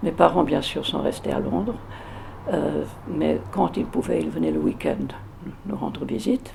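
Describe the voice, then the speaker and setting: A woman speaks with long, frequent pauses against noticeable background noise. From England, London. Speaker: interviewee recounting childhood memories. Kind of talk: oral history interview. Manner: hesitant, many fillers and repetitions.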